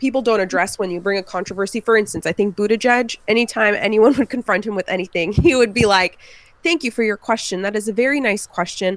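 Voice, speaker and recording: A woman with an American accent talks at a fairly quick pace, her pitch fairly high. Her pitch varies an ordinary amount, and the sound is dry and close with no echo. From California. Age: 20s. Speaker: public defender. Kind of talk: casual chat.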